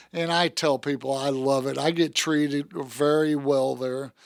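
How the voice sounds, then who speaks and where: In a normal speaking voice with an American accent, the speaker goes at a fairly slow pace with fairly even intonation on a very clean recording with a silent background. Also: man. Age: 60s. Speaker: car salesman. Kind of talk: casual interview chat. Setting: studio.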